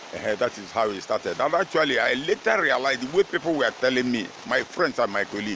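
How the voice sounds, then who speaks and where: The speech comes at a very fast pace with lively intonation over noticeable background noise. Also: man. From Nigeria. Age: 70s. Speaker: retired footballer. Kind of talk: interview. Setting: at his home. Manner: halting.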